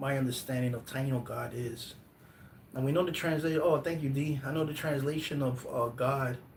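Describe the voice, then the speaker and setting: In a room with audible echo, a man speaks in an animated tone at a fairly high pitch. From US Northeast, Brooklyn, New York. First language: Spanish. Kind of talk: live stream talk. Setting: live stream. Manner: animated, hesitant with fillers and restarts.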